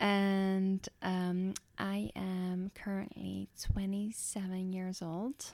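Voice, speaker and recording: Very slow and monotone in delivery, a woman with a Dutch accent is heard with a dry, close sound with no echo on a very clean recording over a silent background. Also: medium pitch for a woman. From Netherlands. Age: 20s. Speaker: podcast co-host, nurse. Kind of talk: casual chat.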